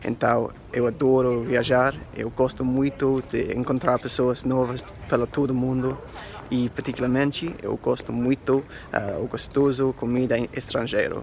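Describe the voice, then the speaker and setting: Amid noticeable background noise, a man with an English accent speaks fairly slowly at a medium pitch in a monotone, flat way. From England, Oxford. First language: English (speaking Portuguese). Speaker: tour guide. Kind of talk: recorded listener message.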